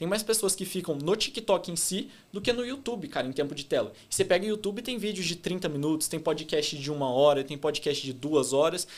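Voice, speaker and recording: A man talks fairly quickly in a high pitch, varying it in an ordinary way. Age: 20s. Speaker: e-commerce entrepreneur. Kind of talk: podcast interview. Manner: fast; loud.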